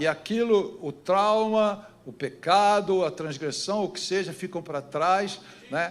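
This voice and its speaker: A man speaks very slowly in a high pitch, his pitch varying in an ordinary way. His loudness swings widely from moment to moment. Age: 70s. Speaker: pastor. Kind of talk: sermon. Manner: animated.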